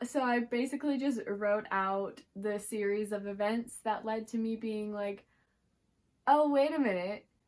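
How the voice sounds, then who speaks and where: This woman has an unremarkable speaking voice, fairly high in pitch with ordinary pitch variation, and she talks at a fairly slow pace. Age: 20s. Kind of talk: casual talk to camera.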